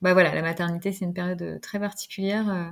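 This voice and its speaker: Her pitch sits fairly low for a woman. She talks at a moderate pace. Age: 40s. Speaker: pediatric nurse and parent. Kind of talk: podcast interview. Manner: hesitant, many fillers.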